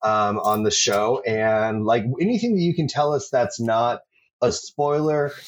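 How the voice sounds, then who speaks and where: The background is quiet. An ordinary speaking voice goes at a moderate pace, with ordinary pitch variation. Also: man. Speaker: podcast host. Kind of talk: casual chat, interview.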